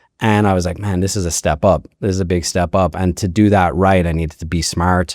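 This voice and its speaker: With an Irish accent, a man speaks at a very fast pace in a very deep, low pitch, his tone dark and mellow, his intonation monotone and flat, and the sound dry and close with no echo. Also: very clean recording, silent background. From Ireland. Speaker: ski resort executive. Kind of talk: podcast interview. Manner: casual, many fillers.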